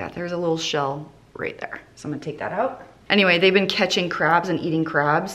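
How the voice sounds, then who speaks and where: A woman at a fairly quick pace. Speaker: home cooking vlogger. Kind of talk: casual cooking tutorial chat. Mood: cheerful, chatty. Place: kitchen.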